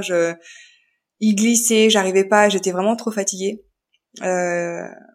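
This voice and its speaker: Speaking at a very slow pace with fairly even intonation, a woman is heard on a very clean recording against a silent background. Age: 30s. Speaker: young mother and podcaster. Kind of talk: testimony. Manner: halting, many hesitations.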